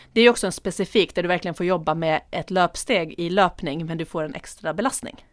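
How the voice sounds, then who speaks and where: Talking at a very fast pace with hardly any pauses, this voice shows ordinary pitch variation. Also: woman, fairly low pitch for a woman. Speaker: podcast co-host. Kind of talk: casual chat.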